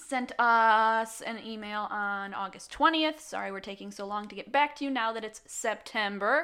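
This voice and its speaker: With a bright, sharp tone and fairly high pitch, a woman speaks with hardly any pauses and big swings in loudness. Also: ordinary pitch variation, moderate pace. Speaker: guest co-host, host's wife. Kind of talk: casual chat. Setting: home recording with microphone. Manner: soft-spoken.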